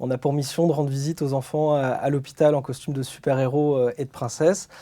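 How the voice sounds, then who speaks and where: Monotone and flat in intonation, a man talks at a fairly quick pace and a fairly high pitch. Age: 30s. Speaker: association founder. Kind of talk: documentary testimony.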